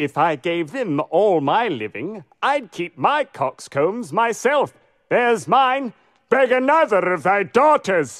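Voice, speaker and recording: In a put-on character voice, a man speaks at a high pitch. The background is quiet. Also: fairly slow pace. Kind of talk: Shakespearean stage acting. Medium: stage play. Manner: mocking, rhyming.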